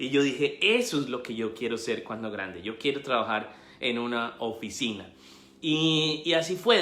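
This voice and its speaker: With a Colombian accent, a man speaks at a medium pitch and moderate pace, using ordinary pitch variation, with audible room echo. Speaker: investment educator and author. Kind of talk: live stream talk. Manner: halting, many fillers.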